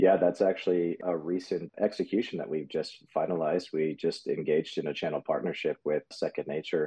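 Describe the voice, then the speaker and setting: A man talks at a fairly quick pace, with hardly any pauses. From US, military family; born in Germany. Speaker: business co-founder and operations executive. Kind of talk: interview.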